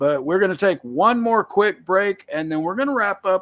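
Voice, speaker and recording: With a Southern US accent, a man talks at a moderate speed. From US South. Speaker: talk show host. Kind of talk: casual live show talk. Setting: live video stream.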